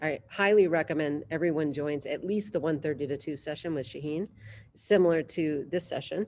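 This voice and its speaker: Fairly low-pitched, a woman talks at a fairly quick pace with ordinary pitch variation. She has an American accent, and the background is quiet. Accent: Boston accent, comes out at times. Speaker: innovation hub director and event host. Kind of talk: casual online panel chat. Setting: video call. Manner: animated, halting with repetitions.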